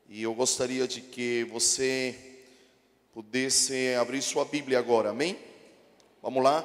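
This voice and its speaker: Fairly slow speech from a man with a medium-pitched voice. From Chile. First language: Spanish (speaking Portuguese). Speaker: pastor. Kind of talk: sermon. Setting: church.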